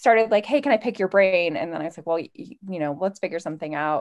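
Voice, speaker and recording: A woman talks with lively intonation in an unremarkable speaking voice. The background is quiet. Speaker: self-love coach and librarian. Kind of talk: interview conversation.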